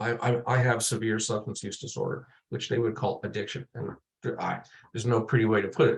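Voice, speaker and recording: A somewhat breathy man at a medium pitch, with fairly even intonation and a fairly quick pace. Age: 60s. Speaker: lived experience researcher. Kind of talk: panel presentation. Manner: halting, many fillers and repetitions.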